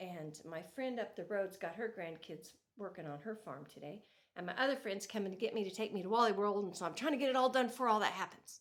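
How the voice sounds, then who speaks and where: Speaking at a very fast pace, a woman uses lively intonation at a medium pitch. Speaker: farm wife yarn crafter vlogger. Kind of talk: casual chat.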